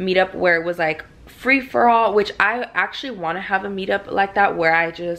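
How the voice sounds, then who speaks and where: A woman talks in an ordinary speaking voice with a fairly low pitch. Her pace is fairly quick. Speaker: vlogger. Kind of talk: casual vlog chat. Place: home room.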